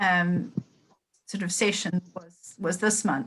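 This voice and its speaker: With fairly even intonation, the woman holds a medium pitch. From Zimbabwe. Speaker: meeting participant in a race equality group. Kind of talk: group meeting check-in. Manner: halting, many fillers.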